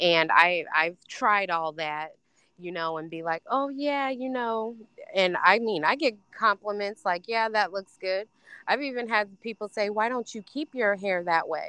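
Here is a woman with an American accent and a plain, everyday voice. She speaks at medium pitch with lively intonation. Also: fairly slow pace.

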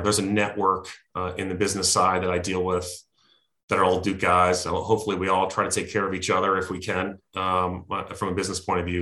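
A fairly quick, very deep, low-pitched man's voice in an American accent, bright and sharp in tone, with monotone, flat intonation and audible room echo. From New Jersey. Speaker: former NFL quarterback. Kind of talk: interview.

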